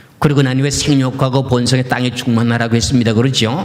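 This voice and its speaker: Audible room echo surrounds a man as he speaks. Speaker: pastor. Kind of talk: sermon.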